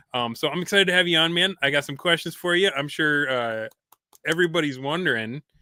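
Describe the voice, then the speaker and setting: A man's fairly high voice at a very fast pace. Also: ordinary pitch variation. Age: 40s. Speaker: podcast host. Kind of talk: casual chat.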